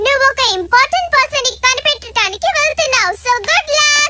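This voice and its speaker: An extremely high, squeaky put-on character voice goes at a moderate pace over light background noise. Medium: fan dub. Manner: calm, reassuring.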